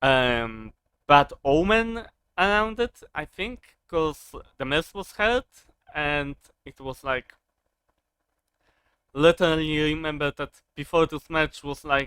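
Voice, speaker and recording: In a non-native accent, the speaker goes at a very slow pace with long, frequent pauses. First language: not English. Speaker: wrestling commentary youtuber. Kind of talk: casual monologue review. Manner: halting, many fillers.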